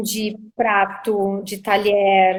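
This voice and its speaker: A woman speaks with a southern Brazilian accent. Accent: southern Brazilian (gaúcho). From southern Brazil, Caxias do Sul (Rio Grande do Sul). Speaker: misophonia sufferer sharing experience. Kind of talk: live video interview. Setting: video call livestream.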